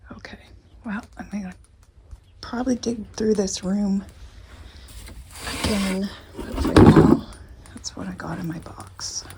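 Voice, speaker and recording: Over noticeable background noise, a woman whispers at a fairly slow pace, her loudness swinging a lot and her speech broken by long, frequent pauses. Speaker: vintage reseller vlogger. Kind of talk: casual vlog narration. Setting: indoors at a garage sale. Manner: whispering.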